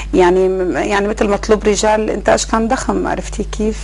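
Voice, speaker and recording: Noticeable background noise accompanies a woman who speaks at a fairly quick pace. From Syria, Bedouin roots from Al-Hasakah governorate. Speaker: actress and TV producer. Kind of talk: interview. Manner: hesitant, many fillers.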